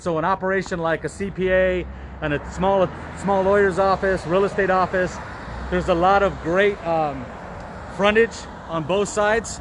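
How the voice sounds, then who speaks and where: A man speaks loudly at a moderate pace in a high voice. Noticeable background noise is present. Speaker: real estate broker. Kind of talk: virtual open house tour.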